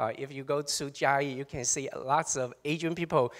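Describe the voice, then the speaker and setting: Here a man speaks with a Taiwanese accent and a fairly high pitch. He keeps a moderate pace and fairly even intonation. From Taiwan, Chiayi (southern Taiwan). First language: Taiwanese Hokkien / Mandarin. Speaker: professor. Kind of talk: panel presentation.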